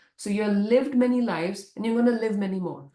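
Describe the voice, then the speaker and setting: The tone is dark and mellow, somewhat breathy. Delivery moves at a fairly quick pace. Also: woman. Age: 30s. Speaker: doctor and life coach. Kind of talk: casual chat.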